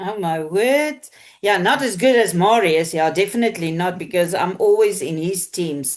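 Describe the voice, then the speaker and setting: A woman with a South African accent, medium in pitch, at a moderate pace and with lively intonation. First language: Afrikaans. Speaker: team leader at a marketing company. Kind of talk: online business Q&A call. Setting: video call.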